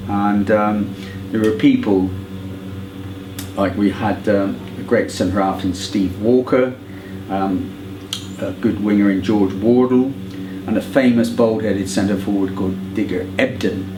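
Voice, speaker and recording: Amid noticeable background noise and audible room echo, a man with a West Country accent speaks fairly slowly at a fairly low pitch, his intonation fairly even and his pauses long and frequent. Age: 70s. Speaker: football fan. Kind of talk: oral history interview. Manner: hesitant with many fillers.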